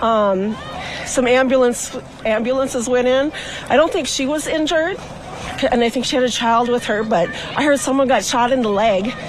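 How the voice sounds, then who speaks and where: A high-pitched woman talks at a moderate pace with ordinary pitch variation, amid noticeable background noise and audible room echo. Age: 50s. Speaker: local resident at a protest. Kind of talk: street interview. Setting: outdoors at night.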